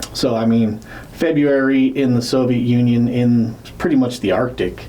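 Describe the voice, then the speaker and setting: A man speaks at a moderate pace and medium pitch, with very even loudness and fairly even intonation. Noticeable background noise and audible room echo fill the recording. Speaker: podcast co-host. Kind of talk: casual chat. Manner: slurred words; hesitant, many fillers.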